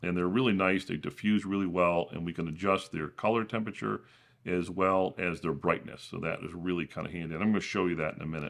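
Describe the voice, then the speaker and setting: The background is quiet. A man speaks at a very deep, low pitch with ordinary pitch variation. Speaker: tech YouTuber. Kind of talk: tutorial. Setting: home studio.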